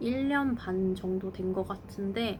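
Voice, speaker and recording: Her medium-pitched words come at a very slow pace as the woman talks. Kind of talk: casual talk to camera.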